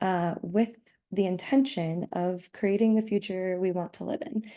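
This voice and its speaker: Fairly low-pitched woman with a dark, mellow tone and ordinary pitch variation. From US Midwest, St Louis Missouri. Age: 20s. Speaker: eyewear designer and artist. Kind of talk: online presentation.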